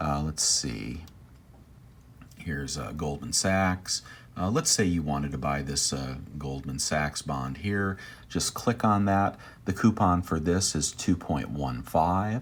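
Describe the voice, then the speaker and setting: At a very slow pace, a man speaks with lively intonation in a very deep, low pitch. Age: 60s. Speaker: personal finance YouTuber. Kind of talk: screen-share tutorial. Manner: hesitant, many fillers.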